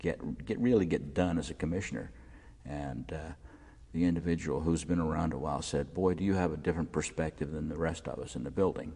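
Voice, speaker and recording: A man with an American accent, very deep and low in pitch, dark and mellow in tone with vocal fry, at a fairly quick pace and with ordinary pitch variation. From Maryland, US. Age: 60s. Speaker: local politician and former journalist. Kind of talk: oral history interview. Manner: halting with frequent fillers.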